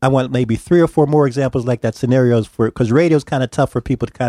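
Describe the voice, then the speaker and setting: A man talks at a very fast pace with fairly even intonation and a dark, mellow tone, recorded very cleanly against a silent background, the sound dry and close with no echo. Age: 60s. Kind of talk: casual chat. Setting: studio. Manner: halting.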